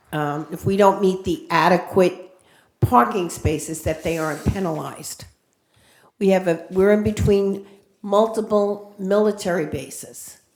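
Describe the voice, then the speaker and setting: With audible room echo, a woman speaks at medium pitch and a fairly slow pace, her intonation fairly even. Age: 70s. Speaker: public commenter, veterans' chaplain. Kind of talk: public comment at council meeting. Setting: city council chambers.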